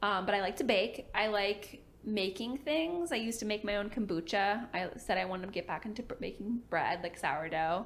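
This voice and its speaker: At a moderate pace and medium pitch, a woman with a normal speaking voice talks with hardly any pauses. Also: lively intonation. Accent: American. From Virginia, US. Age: 20s. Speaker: PA student and study-with-me YouTuber. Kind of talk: casual Q&A chat. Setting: sit-down filmed at home, partner off camera. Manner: casual, filler-heavy.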